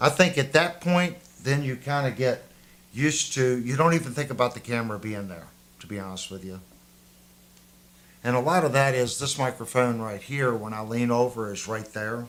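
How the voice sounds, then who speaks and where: Speaking at a moderate pace with a slight Southern US accent, a man uses a medium pitch and ordinary pitch variation, with long, frequent pauses and big swings in loudness. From US South. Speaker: guitar livestream host, guitar tech. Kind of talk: casual livestream chat.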